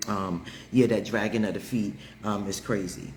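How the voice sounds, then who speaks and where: In a room with audible echo, a man with a fairly low pitch speaks in an animated tone that is somewhat breathy. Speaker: livestream host. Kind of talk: casual chat. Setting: livestream.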